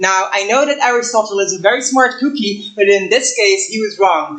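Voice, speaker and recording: Audible room echo surrounds a woman's voice. She talks at a fairly slow pace with lively intonation. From Belgium. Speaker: astrophysics professor. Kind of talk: public lecture. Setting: lecture hall with audience. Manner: many filler words (um, uh).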